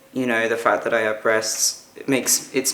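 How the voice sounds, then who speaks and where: A medium-pitched man with a British accent, monotone and flat in intonation, at a moderate pace. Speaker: vlogger. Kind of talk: personal vlog. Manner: casual, hesitant with fillers.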